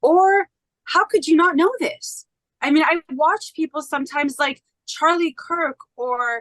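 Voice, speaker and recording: Loud and at an extremely high pitch, a woman speaks with an American accent and lively intonation. Her fairly slow delivery has a dry, close sound with no echo. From United States. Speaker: podcast guest, independent researcher. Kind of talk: podcast interview. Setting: podcast interview.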